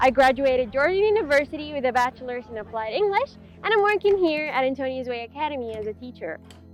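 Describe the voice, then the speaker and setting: A woman's high voice in very wide pitch swings at a very fast pace, with music in the background. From Saudi Arabia. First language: Arabic. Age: 20s. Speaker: English teacher. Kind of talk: scripted self-introduction. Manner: casual, friendly.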